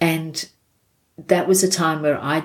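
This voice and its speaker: Her Australian accent and very deep, low pitch mark this woman, who talks at a moderate pace. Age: 60s. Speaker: non-profit worker. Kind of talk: casual interview.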